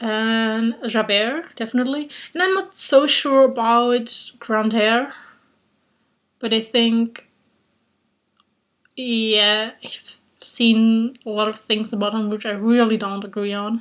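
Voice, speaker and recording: This woman has a fairly high pitch and speaks in a German accent. Her pace is very slow, broken by long, frequent pauses. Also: ordinary pitch variation. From Germany. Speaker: YouTuber. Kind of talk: casual vlog challenge. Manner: hesitant, many fillers.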